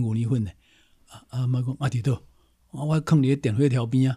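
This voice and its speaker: A somewhat breathy man's voice of medium pitch, dark and mellow in tone, with fairly even intonation. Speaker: historian, professor and author. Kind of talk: casual interview.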